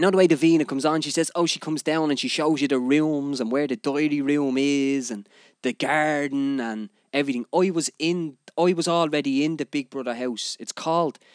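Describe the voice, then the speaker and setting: A man talks at a fairly quick pace with a fairly high voice. The recording is very clean with a silent background and a dry, close sound with no echo. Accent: Dublin. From Ireland, Dublin (Finglas). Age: 30s. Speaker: podcast host, DJ. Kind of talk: casual monologue. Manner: animated.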